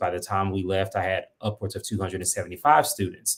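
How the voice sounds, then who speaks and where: The recording is very clean and the background silent. The speaker is a man. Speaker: school administrator, former choir teacher. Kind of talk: interview. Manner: fast.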